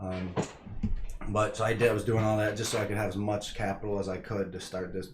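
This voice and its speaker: A somewhat breathy man with an American accent speaks in a fairly low pitch. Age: 20s. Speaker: real estate investor. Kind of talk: casual vlog talk. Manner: halting, many fillers.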